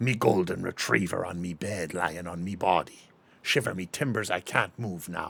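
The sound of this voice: Using a raspy, put-on character voice, a man speaks at a very deep, low pitch and a moderate pace.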